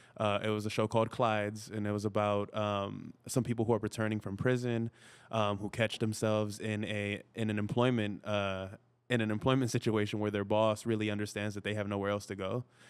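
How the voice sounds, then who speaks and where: In a Spanish accent, the speaker talks at a fairly quick pace with monotone, flat intonation. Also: man, fairly low pitch for a man. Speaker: actor and podcaster. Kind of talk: podcast interview. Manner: casual, many filler words.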